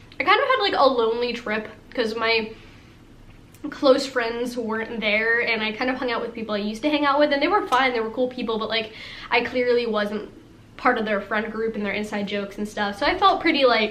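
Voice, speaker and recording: A woman's fairly high voice with ordinary pitch variation, fairly quick pace, and noticeable background noise. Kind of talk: casual storytime talk to camera. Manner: fast, rambling, valley-girl filler words.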